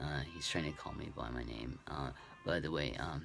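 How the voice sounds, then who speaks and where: Vocal fry at a fairly slow pace. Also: man. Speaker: vlogger. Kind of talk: casual vlog update. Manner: halting, many fillers.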